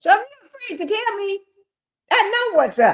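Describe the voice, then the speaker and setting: A woman speaks loudly at an extremely high pitch. Her pace is fairly slow. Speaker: live-stream commentary host. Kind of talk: casual live-stream commentary.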